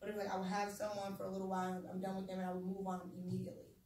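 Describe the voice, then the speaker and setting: The speaker is a woman with a somewhat breathy voice. Audible room echo surrounds her words. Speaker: speaker sharing personal trauma story. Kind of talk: testimony. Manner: fast; animated.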